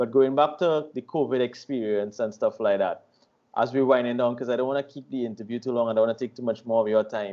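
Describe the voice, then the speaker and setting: A man at medium pitch, very fast pace, fairly even intonation and big swings in loudness. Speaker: online radio host. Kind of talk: interview questions, casual talk.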